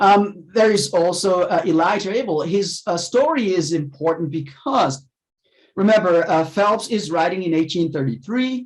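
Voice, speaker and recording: With a slight non-native accent, a man talks at a moderate pace and a high pitch. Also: ordinary pitch variation. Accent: near-native English, slight non-native. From Haiti. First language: French or Haitian Creole. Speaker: professor. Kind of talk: lecture. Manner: halting, many fillers.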